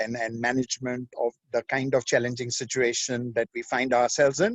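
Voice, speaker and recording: A man with a medium-pitched voice. He has an unremarkable speaking voice. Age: 60s. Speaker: management speaker. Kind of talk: webinar presentation. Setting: remote video call.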